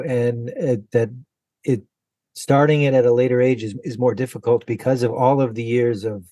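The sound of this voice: A man speaks at medium pitch in a dark, mellow tone with fairly even intonation.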